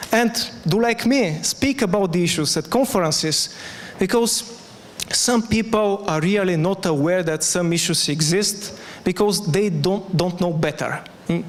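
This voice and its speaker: A high-pitched man, very even in loudness, at a fairly slow pace amid noticeable background noise. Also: ordinary pitch variation. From Bulgaria, Sofia. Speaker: conference speaker. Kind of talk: conference talk; Q&A answer.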